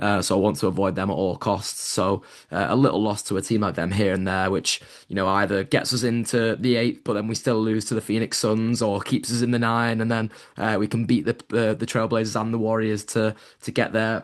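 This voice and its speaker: This man speaks with a British accent at a fairly quick pace. His pitch is fairly low and his intonation fairly even. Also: quiet background. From UK. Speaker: NBA podcast co-host and media member. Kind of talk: casual chat.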